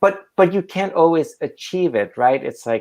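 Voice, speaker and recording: A man with a non-native accent and lively intonation. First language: not English. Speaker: artist. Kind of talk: public conversation.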